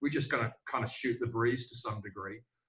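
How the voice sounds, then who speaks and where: In an Australian accent, a man speaks at medium pitch and a fairly quick pace. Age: old. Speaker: sales trainer. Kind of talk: casual chat.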